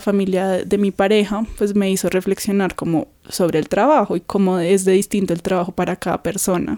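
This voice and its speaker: With a dark, mellow tone, a woman speaks at a moderate pace and fairly even intonation on a very clean, dry, close recording with no echo and a silent background. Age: 20s. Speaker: dancer. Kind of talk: interview.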